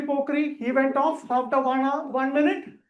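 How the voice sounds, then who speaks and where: With a Keralan accent, the speech moves at a fairly slow pace. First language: Malayalam. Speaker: public speaking trainer. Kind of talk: training lecture.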